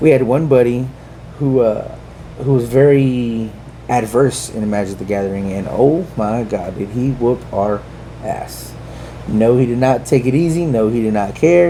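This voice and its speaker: Someone speaks at a moderate pace with long, frequent pauses. Noticeable background noise and audible room echo fill the recording. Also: man. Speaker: podcast co-host, prison officer. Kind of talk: casual chat.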